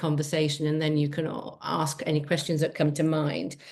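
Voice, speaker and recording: With a southern English accent, a woman speaks at a moderate pace in a very deep, low pitch. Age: 60s. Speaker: travel community founder. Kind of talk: casual chat.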